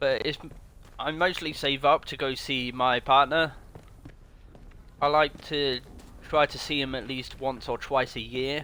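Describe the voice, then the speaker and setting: Speaking with a British accent, a man with a fairly high pitch talks at a fairly slow pace with fairly even intonation and long, frequent pauses. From Britain. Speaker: video game streamer. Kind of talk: live gameplay commentary. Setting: home streaming setup on console. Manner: casual, chatty.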